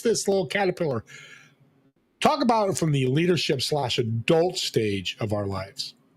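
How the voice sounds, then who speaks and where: A man speaks in an animated tone with very wide pitch swings. His voice is somewhat breathy. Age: 60s. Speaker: talk show host. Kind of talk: interview show.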